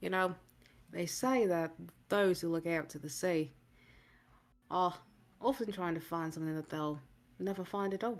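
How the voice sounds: A gruff, put-on character voice at middle pitch moves at a moderate pace with long, frequent pauses, on a very clean recording with a silent background.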